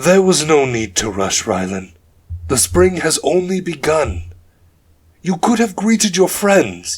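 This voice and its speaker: Putting on a character voice, a man speaks at a fairly slow pace in a fairly high pitch that swings very widely. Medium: read story. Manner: warm, patient.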